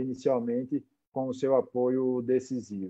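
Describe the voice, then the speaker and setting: A man talks at a fairly slow pace and a medium pitch. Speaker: plastic surgeon, event organizer. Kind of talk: online medical conference moderation. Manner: halting, many repetitions.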